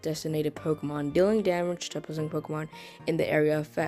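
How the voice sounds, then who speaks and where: A woman's very deep, low voice at a fairly quick pace, with ordinary pitch variation and music in the background. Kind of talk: casual gaming commentary, reading move descriptions.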